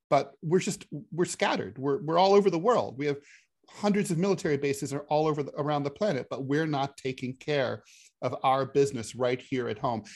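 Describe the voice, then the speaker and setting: A man speaks in an ordinary speaking voice at a fairly quick pace, his fairly high pitch moving with lively intonation over a quiet background. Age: 50s. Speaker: podcast co-host, political commentator. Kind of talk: casual political chat.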